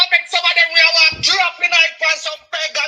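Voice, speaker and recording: The speaker has a Jamaican accent. The pace is moderate. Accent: Jamaican Patois-inflected. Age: 50s. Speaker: caller. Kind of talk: phone-in call. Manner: agitated.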